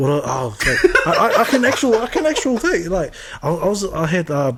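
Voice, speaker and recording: A man with a New Zealand accent talks fairly quickly in a high pitch with very wide pitch swings. Noticeable background noise runs underneath. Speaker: podcast co-host. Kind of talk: casual chat. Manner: halting.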